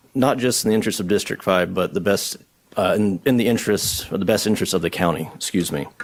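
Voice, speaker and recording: Ordinary pitch variation marks this speaker, who has a Southern US accent. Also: man. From US South, southwest Georgia. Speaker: county board candidate. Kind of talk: formal address to a board. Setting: board meeting at a podium with audience. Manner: hesitant, many fillers.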